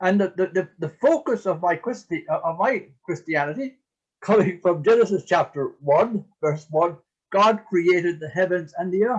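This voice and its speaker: A high-pitched man in an Irish accent, at a moderate pace with ordinary pitch variation. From Ireland. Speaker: priest and eco-theologian. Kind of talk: interview talk. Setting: video call. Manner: halting.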